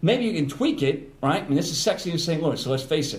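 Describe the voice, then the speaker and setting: There is audible room echo in this clip. The man in it talks very fast. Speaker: radio personality. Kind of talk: casual chat.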